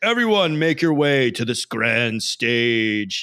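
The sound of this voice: A man's booming put-on character voice at a medium pitch, fairly slow, with ordinary pitch variation and a dry, close sound with no echo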